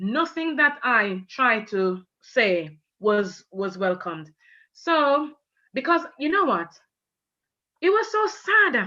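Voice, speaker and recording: A woman speaks very slowly with a Jamaican accent. Her voice is high, bright and sharp, with very wide pitch swings. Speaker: teacher. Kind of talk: testimony.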